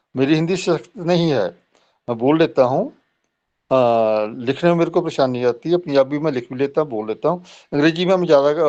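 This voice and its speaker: Speaking in a Punjabi accent, a man uses a fairly high pitch at a moderate pace. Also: quiet background. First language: Punjabi (speaking Hindi). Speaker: professor. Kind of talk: lecture. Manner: halting.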